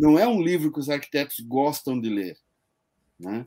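Heard on a very clean recording with a silent background, a man uses a plain, everyday voice at fairly high pitch with lively intonation. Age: 60s. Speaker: online show host. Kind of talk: interview.

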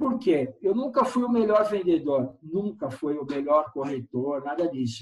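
Speaking at a fairly slow pace with hardly any pauses, a man uses a fairly high pitch that rises and falls in very wide swings. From São Paulo, Brazil. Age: 50s. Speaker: real estate operations director. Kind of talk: interview.

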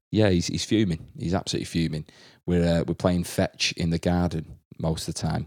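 A man with an English accent speaks at a moderate pace in a very deep, low voice. The recording is very clean and dry, close with no echo and a silent background. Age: 20s. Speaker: podcast host and primary school teacher. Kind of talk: casual chat. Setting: at home in isolation.

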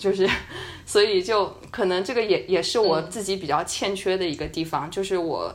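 At a moderate pace, a woman speaks with a medium pitch and ordinary pitch variation, with audible room echo around her. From China. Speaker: podcast co-host, student abroad. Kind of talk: casual chat. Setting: at home, remote recording.

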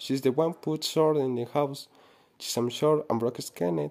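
A man with a Spanish accent speaks in a medium pitch at a moderate pace. His tone is dark and mellow. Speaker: student. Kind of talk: reading aloud. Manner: halting.

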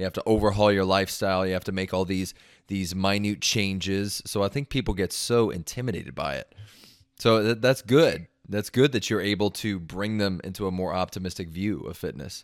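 A man with an American accent talks fairly quickly in a normal speaking voice, his pitch fairly low and its variation ordinary. The recording is very clean, the background silent. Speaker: podcast host. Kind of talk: casual interview.

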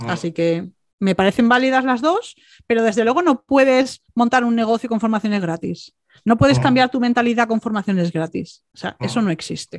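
A woman with an ordinary speaking voice, fairly high in pitch, at a fairly quick pace with lively intonation, in a dry, close sound with no echo. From Andalusia, Málaga. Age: 40s. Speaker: entrepreneurship coach. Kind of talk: interview.

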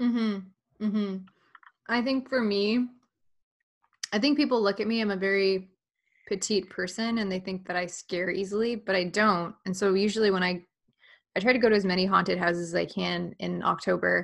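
On a very clean recording with a silent background, the speech moves at a moderate pace with fairly even intonation and long, frequent pauses. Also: woman, medium pitch for a woman. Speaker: podcast host. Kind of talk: casual chat.

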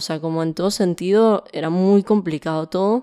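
A woman talks at a fairly quick pace in a normal speaking voice. Her intonation is fairly even. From Venezuela, Caracas. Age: 20s. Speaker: music composer. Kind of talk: interview testimony.

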